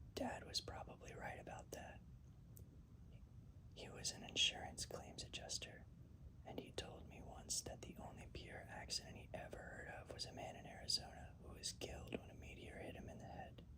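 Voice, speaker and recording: Someone whispers at a moderate pace. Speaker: ASMR reader. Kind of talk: read story. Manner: whispered.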